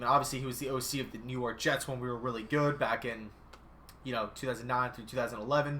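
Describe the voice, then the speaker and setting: A man talks very fast in a bright, sharp tone. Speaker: sports YouTuber, channel owner. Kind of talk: live stream sports chat. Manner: occasional stutter.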